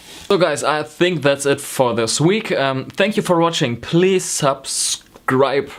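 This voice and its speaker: With a slight German accent, a man speaks at a very slow pace in a fairly high voice, his loudness very even and his pitch varying in an ordinary way, while noticeable noise runs behind him. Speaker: knitting vlogger. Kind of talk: casual vlog talk. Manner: hesitant, many ums.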